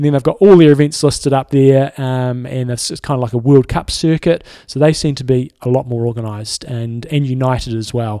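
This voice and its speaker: With a plain, everyday voice, a man speaks at a medium pitch and a fairly quick pace, hardly pausing, his intonation fairly even. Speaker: triathlon coach and podcast co-host. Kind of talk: casual chat.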